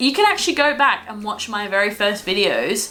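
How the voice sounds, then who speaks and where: A woman with a fairly high voice talks at a fairly quick clip, with noticeable background noise in the recording. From Australia. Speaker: travel vlogger. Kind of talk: casual chat. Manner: chatty.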